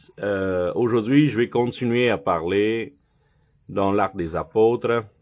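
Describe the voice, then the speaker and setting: At a very slow pace, a man with a non-native accent speaks in a fairly low pitch with ordinary pitch variation. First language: not French (speaking French). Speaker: lay preacher. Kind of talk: sermon. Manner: halting.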